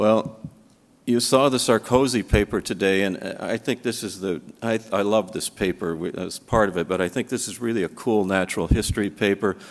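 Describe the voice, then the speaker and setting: At a fairly quick pace, a man with an unremarkable speaking voice and fairly low pitch speaks with ordinary pitch variation, on a very clean recording with a silent background. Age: 60s. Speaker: physician and lymphoma researcher. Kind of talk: conference lecture.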